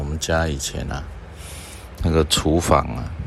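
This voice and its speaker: A man with a very deep, low pitch speaks at a fairly slow pace. Audible room echo and noticeable background noise fill the recording. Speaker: doctor and podcast host. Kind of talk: reflective monologue talk. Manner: unhurried with frequent filler sounds.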